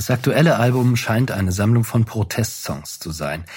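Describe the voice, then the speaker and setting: A somewhat breathy man's voice with ordinary pitch variation. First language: German. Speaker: podcast host. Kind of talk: casual interview. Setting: concert venue backstage.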